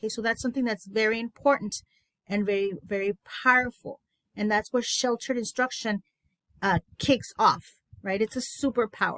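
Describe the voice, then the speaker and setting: A woman with a Spanish accent speaks at a moderate pace in a fairly high, enthusiastic tone, recorded dry and close with no echo. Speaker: education consultant. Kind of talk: teacher training webinar. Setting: online presentation.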